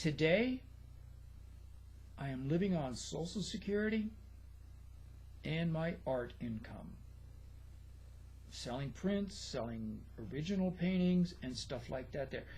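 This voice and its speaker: A man talks at a fairly slow pace, leaving long and frequent pauses, with audible room echo around him. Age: 70s. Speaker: retired nurse and model railroader. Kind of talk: casual vlog introduction.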